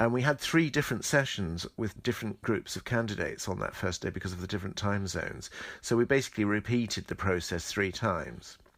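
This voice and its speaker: Spoken in a southern English accent, the voice races at a very fast pace with lively intonation and hardly any pauses, on a very clean recording with a silent background. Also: man, fairly low pitch for a man. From southern England, Medway towns in Kent. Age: 60s. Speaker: choreographer. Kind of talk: interview.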